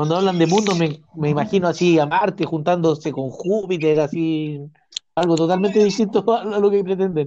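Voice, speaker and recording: A man speaks with a Chilean accent. His pitch is high. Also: ordinary pitch variation, moderate pace. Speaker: podcast host. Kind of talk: casual political chat.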